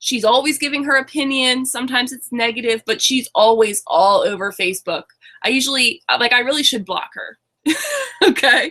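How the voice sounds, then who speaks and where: A woman speaks at a moderate pace in a raised, projected voice. Her pitch is high, with ordinary variation. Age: 20s. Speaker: online business coach. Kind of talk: webinar presentation. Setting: webinar. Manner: halting.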